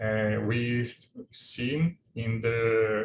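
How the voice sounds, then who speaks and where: With a non-native accent, a man talks in a medium, somewhat breathy voice, with audible room echo and light background noise. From Brazil. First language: Portuguese. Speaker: government program official; presenter. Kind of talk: webinar presentation. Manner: halting. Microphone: video call.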